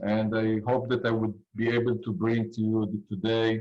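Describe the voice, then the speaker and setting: A man with an Israeli accent, medium in pitch, at a moderate pace. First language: Hebrew. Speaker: cybersecurity industry expert. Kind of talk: panel discussion. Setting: video call.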